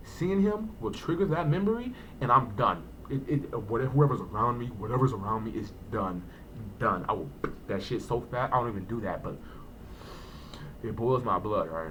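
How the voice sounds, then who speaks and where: Amid audible room echo, a man of medium pitch speaks at a moderate pace with very wide pitch swings and long, frequent pauses. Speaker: vlogger. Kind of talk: personal storytelling vlog. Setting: home, early morning. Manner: hesitant, repeats words.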